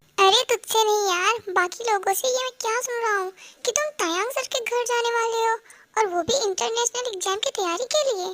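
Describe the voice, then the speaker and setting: This is a put-on character voice with ordinary pitch variation. It moves at a fairly quick pace. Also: woman, extremely high pitch for a woman. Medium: fan dub. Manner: casual, brotherly.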